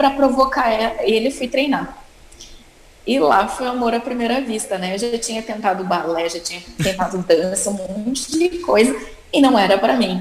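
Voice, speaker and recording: Amid noticeable background noise, a woman talks at a moderate pace with lively intonation and a fairly high pitch. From Rio Grande do Sul, Brazil (Caxias do Sul). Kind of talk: interview.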